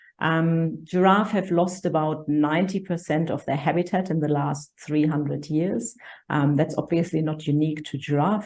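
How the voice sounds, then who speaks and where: A woman with a German accent talks at a moderate pace. Her voice is very deep and low, with a dark, mellow tone. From Germany. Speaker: conservation charity director. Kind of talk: interview.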